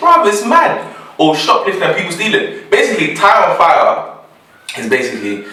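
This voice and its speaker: A man with a London accent at a moderate pace, with audible room echo and noticeable background noise. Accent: London English with Nigerian roots. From Nigeria, then London. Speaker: podcast co-host. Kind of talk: casual chat.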